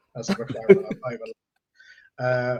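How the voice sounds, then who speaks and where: The voice is somewhat breathy, moving at a fairly quick pace with ordinary pitch variation. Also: man. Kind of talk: casual chat. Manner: halting.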